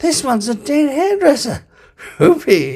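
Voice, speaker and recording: Here a man is doing a put-on character voice. It goes extremely high. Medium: read story. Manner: breezy, casual.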